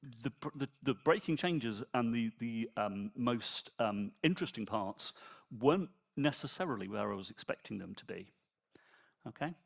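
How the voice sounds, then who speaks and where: A man at medium pitch, lively in intonation with big swings in loudness, dry and close with no echo, very clean recording, silent background. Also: moderate pace. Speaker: software engineer and conference speaker. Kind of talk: conference talk. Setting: stage with audience. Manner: soft-spoken.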